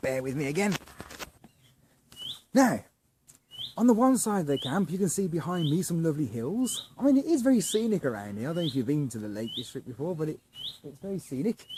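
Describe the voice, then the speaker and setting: Long, frequent pauses from a man with a southern English accent, high-pitched, with very wide pitch swings and a fairly quick pace. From southern England. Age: 40s. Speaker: campsite vlogger. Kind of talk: casual video review tour. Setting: outdoors at campsite. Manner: halting, many fillers; whispering.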